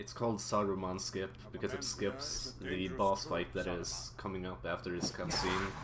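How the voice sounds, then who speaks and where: A man with a non-native accent speaks at a moderate pace with hardly any pauses, his very deep, low pitch swinging very widely. Noticeable background noise sits behind him. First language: not English. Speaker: speedrunner. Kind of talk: live gameplay commentary. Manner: casual, halting with repetitions.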